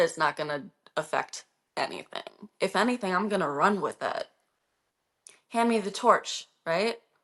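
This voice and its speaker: A woman with an American accent, medium pitch, animated tone, lively intonation and moderate pace. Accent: slight Minnesotan accent at times. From Minnesota, US. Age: 30s. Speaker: livestreamer. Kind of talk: casual chat. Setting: livestream.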